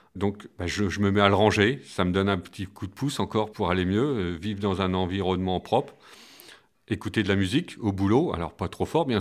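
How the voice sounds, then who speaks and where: On a very clean recording with a silent background, a man speaks at a fairly quick pace with a fairly low pitch and ordinary pitch variation. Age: 50s. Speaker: school maintenance worker. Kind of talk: personal testimony. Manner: hesitant, many fillers and repetitions.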